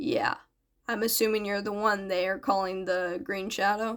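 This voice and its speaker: A woman uses a raspy, put-on character voice at a medium pitch. She keeps a moderate pace. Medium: read story. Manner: terse, dry, understated.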